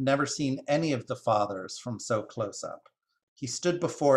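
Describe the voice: Against a quiet background, the speaker does plain reading aloud with lively intonation.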